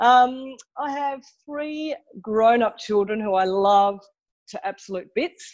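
Lively intonation marks this woman's speech in an Australian accent, recorded with a dry, close sound and no echo. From Tasmania, Australia. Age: 50s. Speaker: podcast guest, mother. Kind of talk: casual interview chat.

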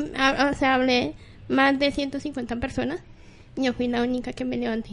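Her voice is high-pitched, a woman speaking. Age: 30s. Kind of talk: live radio chat.

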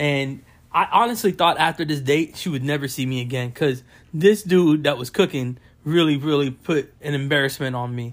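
This man has a normal speaking voice with an American accent, pitched fairly high for a man, with ordinary pitch variation. He talks at a moderate pace on a very clean recording with a silent background. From Florida, West Palm Beach. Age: 30s. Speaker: meat cutter and barber. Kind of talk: casual chat.

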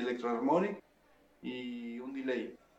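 A medium-pitched male voice amid noticeable background noise and audible room echo. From Venezuela. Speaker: bass player. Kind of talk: casual chat.

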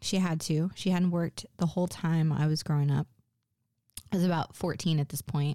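With an ordinary speaking voice, a woman talks at a moderate pace and fairly low pitch, her intonation fairly even and loudness very even, on a very clean recording with a silent background and dry, close sound with no echo. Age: 40s. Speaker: solo podcast host. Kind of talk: solo monologue podcast. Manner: casual with frequent fillers.

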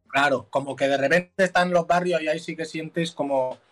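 This is an unremarkable speaking voice moving at a fairly quick pace with ordinary pitch variation. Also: man. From Mallorca, Spain. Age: 20s. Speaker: musician. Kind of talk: casual chat. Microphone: headphones removed, speaking without earphones.

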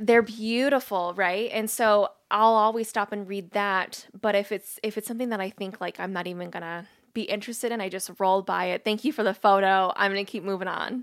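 At a fairly quick pace and with hardly any pauses, the speaker uses an ordinary speaking voice. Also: woman, medium pitch for a woman. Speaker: podcast host. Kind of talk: casual interview. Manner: excitable.

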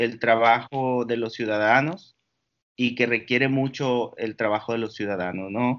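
With fairly even intonation, this man's voice sits at a medium pitch. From northern Mexico, Valle de Mexicali, Baja California. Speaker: entrepreneur and computer engineer. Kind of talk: interview conversation. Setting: Skype call. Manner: halting, many fillers and repetitions.

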